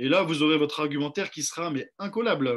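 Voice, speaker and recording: Speaking at a very fast pace, a man has a fairly high pitch and ordinary pitch variation. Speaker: sales trainer. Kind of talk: online training session. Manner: hesitant with fillers.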